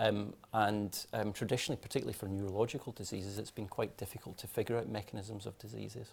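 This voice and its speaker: A man with a fairly low, somewhat breathy voice speaks at a very fast pace with monotone, flat intonation and hardly any pauses. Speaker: clinical geneticist. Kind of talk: panel discussion. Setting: webinar. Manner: hesitant, many fillers and repeats.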